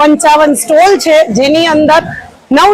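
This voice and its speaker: A woman speaks in a high pitch with fairly even intonation over noticeable background noise. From Veraval, Gujarat. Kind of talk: interview statement to local news.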